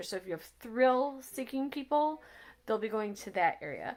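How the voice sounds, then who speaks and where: Mumbling at a moderate pace, a woman talks with ordinary pitch variation. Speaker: accessibility travel vlogger. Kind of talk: casual review chat.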